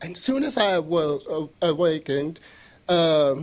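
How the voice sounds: Soft-spoken and fairly high-pitched, a man talks slowly with lively intonation.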